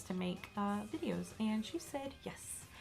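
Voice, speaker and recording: Here is a woman with a Southern US accent. Her tone is bright and sharp. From US South. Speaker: YouTuber. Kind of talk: casual vlog chat. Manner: casual with fillers.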